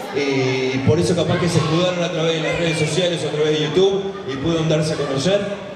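A man speaks with audible room echo. Clear music plays in the background. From Argentina. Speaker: event panel interviewer. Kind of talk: live stage interview. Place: stage. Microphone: pa.

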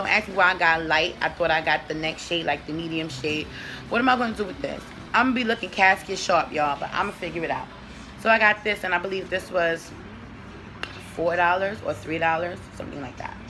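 A woman talks very fast in a fairly low voice with ordinary pitch variation. Music plays in the background. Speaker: beauty vlogger. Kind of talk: casual vlog chat. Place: home room. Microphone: phone near.

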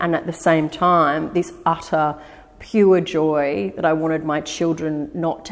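Here is a woman with an Australian accent and a very deep, low pitch. Her intonation stays fairly even. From Australia, Eora Nation (Sydney). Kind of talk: interview answer. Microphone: lapel.

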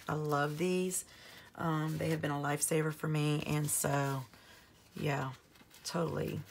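A woman speaks with a very deep, low pitch at a fairly slow pace, her loudness very even. Her intonation is monotone and flat, broken by long, frequent pauses. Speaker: planner YouTuber. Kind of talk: casual plan-with-me video. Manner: chatty, friendly.

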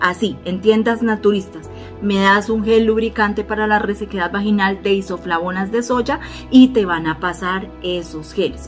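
A woman with a Bogotá accent at a moderate pace, ordinary pitch variation, and clear music in the background. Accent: Bogotá Colombian Spanish. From Bogotá, Colombia. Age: 40s. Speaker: former hairstylist and nail technician. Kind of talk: casual health tips talk to camera. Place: home room.

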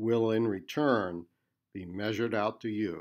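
In a very clean recording with a silent background, a man with an unremarkable speaking voice talks fairly slowly at medium pitch. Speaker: poet and priest reading his own poem. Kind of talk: poetry reading. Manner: playful sound effects for the toy-gun lines.

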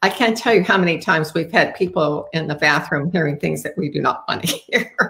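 The tone is fairly bright, with a slightly husky edge and vocal fry. Pitch shifts in an ordinary way. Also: woman, low pitch for a woman, moderate pace.

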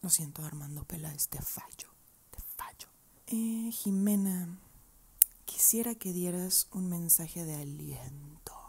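Her voice is fairly low, dark and mellow, somewhat breathy, moving very slowly with ordinary pitch variation. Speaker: vlogger answering viewer questions. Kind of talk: casual vlog chat, soft ASMR-like. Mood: playful, encouraging. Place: home room. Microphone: earbuds.

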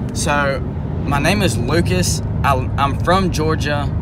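A man speaks at a very slow pace over loud background noise. The sound is dry with no echo. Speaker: first-time vlogger. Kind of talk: casual vlog chat. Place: car. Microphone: phone near.

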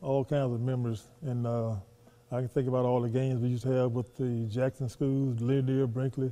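With a Southern US accent, a man talks at a fairly quick pace in a medium pitch, his intonation monotone and flat and his loudness very even. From US South. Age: 70s. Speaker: former professional basketball player. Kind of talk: interview. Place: hall.

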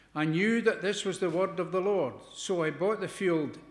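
A man's high-pitched voice with ordinary pitch variation and audible room echo. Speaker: lay scripture reader. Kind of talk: scripture reading. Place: church. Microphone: podium.

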